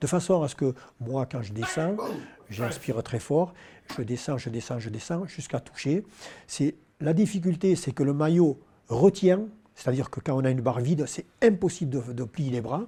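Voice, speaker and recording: A man with a fairly high pitch and a dark, mellow tone speaks at a moderate pace, sounding somewhat breathy. His intonation is lively, and he takes long, frequent pauses. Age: 60s. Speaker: powerlifting champion. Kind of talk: interview. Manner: hesitant, many fillers.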